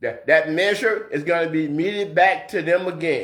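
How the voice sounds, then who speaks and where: A man is speaking at a moderate pace. His pitch rises and falls in an ordinary way. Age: 60s. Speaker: video blogger, social commentator. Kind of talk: political commentary monologue. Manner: repetitive, stammering restarts; impassioned.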